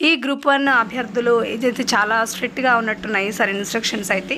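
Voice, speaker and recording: A woman with a fairly high voice talks in a fairly even intonation over noticeable background noise. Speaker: voice-over artist. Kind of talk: casual explainer talk to camera.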